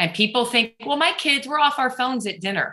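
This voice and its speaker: Her tone comes across as bright and sharp. The speaker is a woman. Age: 50s. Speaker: author and speaker. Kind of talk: radio interview. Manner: animated.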